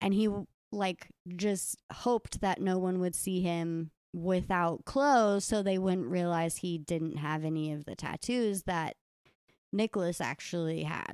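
In a normal speaking voice, a woman of medium pitch talks at a fairly slow pace with ordinary pitch variation, the sound dry and close with no echo on a very clean recording with a silent background. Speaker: podcast host telling the case. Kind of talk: storytelling narration of a true crime case, casual.

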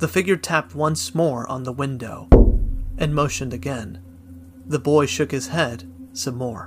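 Music plays behind a man as he speaks. His pitch is fairly high. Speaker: horror story narrator. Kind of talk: ghost story telling. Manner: hushed, slow, eerie.

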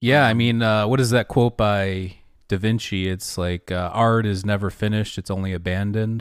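A man with a plain, everyday voice speaks at a moderate pace in a fairly low pitch with fairly even intonation. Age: 30s. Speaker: podcast host. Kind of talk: casual chat. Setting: video call.

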